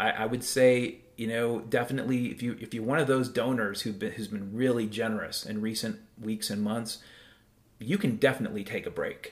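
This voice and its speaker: A man speaks in an ordinary speaking voice at a fairly quick pace, with a medium pitch and fairly even intonation. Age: 50s. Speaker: podcast host. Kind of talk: solo monologue podcast. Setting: home.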